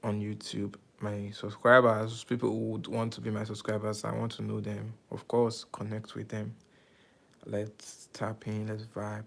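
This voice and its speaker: A man's fairly low, monotone voice with flat intonation and an American accent at a fairly slow pace, in a very clean recording with a silent background. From Nigeria. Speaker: YouTuber live streamer. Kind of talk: casual live stream chat. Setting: live stream. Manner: casual, uses slang.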